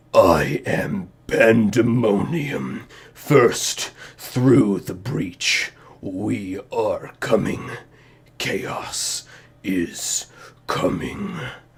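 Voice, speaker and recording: A man puts on a booming character voice at a medium pitch and speaks very slowly. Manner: menacing, ominous.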